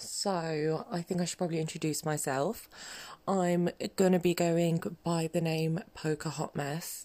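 The woman's fairly slow delivery carries a dark, mellow tone. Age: 30s. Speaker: podcaster in addiction recovery. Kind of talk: casual monologue. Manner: rambling, hesitant with fillers.

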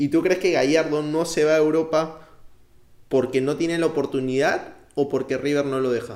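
With a Peruvian accent, a man speaks at a moderate pace in a fairly high pitch. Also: fairly even intonation. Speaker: podcast host. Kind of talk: interview.

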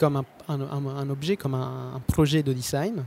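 Recorded with a dry, close sound and no echo, a man speaks at a fairly high pitch with fairly even intonation. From southern Italy, Basilicata. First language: Italian (speaking French). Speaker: photographer and traveller. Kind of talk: interview storytelling. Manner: hesitant, frequent fillers.

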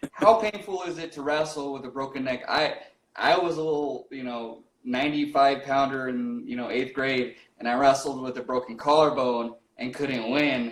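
A normal speaking voice at a moderate pace, with ordinary pitch variation and big swings in loudness. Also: man, fairly high pitch for a man. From Rocky Ford, Colorado. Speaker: podcast host. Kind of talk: casual interview. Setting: livestream.

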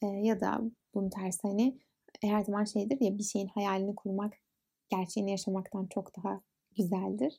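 A woman's medium-pitched, somewhat breathy voice with a dark, mellow tone, fairly even intonation and a moderate pace. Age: 20s. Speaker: podcast host. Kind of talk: casual monologue.

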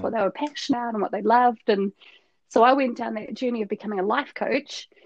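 The speaker talks with a New Zealand accent and fairly even intonation. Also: woman. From New Zealand, west coast. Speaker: agile coach. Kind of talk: casual chat.

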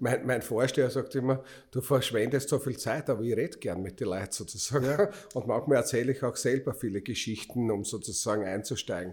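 A man's medium-pitched, somewhat breathy voice at a fairly quick pace, with ordinary pitch variation. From Austria, Styria. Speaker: podcast host and city councillor. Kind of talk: casual chat.

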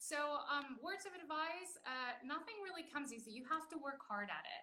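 With an American accent, a woman uses a raised, projected voice with very wide pitch swings at a moderate pace. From Texas (Baytown, near Houston); Mexican American. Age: 30s. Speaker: classical flutist, singer and festival director. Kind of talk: interview conversation. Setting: remote interview from home.

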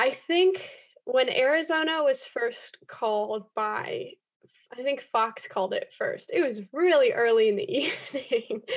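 At a fairly slow pace, a woman with an American accent talks in a high pitch that swings very widely. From US West Coast, Los Angeles. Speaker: political campaign organizer. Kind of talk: casual interview.

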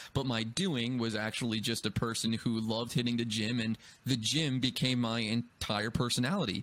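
A man with an unremarkable speaking voice talks at a medium pitch and moderate pace, his intonation fairly even and his loudness very even, on a very clean recording with a silent background. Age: 20s. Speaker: podcast host. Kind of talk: casual chat.

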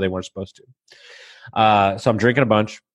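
With a normal speaking voice and an American accent, a man talks at a fairly quick pace in a fairly low pitch with fairly even intonation. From Texas. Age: 30s. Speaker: podcast host and mindset coach. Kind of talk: casual interview, telling life story.

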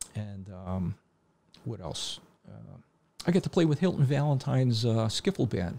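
Moderate pace with long, frequent pauses, very wide pitch swings, big swings in loudness and a somewhat breathy quality. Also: man, medium pitch for a man. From Connecticut, Hamden. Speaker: drummer. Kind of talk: casual chat. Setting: studio.

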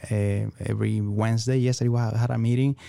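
A man with a Venezuelan accent speaks at a moderate pace and a fairly low pitch. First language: Spanish. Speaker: entrepreneur. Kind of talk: interview. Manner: halting.

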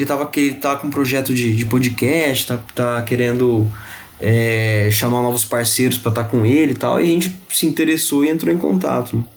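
Noticeable background noise sits under this recording. The man's pitch is medium, with ordinary variation. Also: moderate pace. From interior São Paulo state, Ribeirão Preto. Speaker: podcast co-host. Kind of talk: casual chat.

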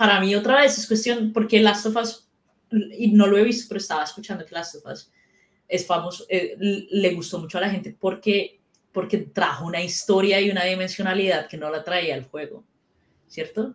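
This woman has a normal speaking voice, pitched at a medium level, with ordinary pitch variation and a moderate pace. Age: 30s. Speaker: character animator. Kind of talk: casual chat.

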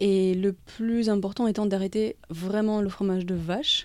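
The speaker talks at a fairly slow pace with a dark, mellow tone. The intonation stays fairly even. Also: woman. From Belgium, near Brussels. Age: 40s. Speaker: holistic wellness and raw food coach. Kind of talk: interview.

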